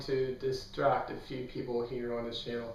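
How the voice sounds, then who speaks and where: Fairly slow speech from a man, over noticeable background noise, with audible room echo. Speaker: book youtuber. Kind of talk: casual vlog talk. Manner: monotone.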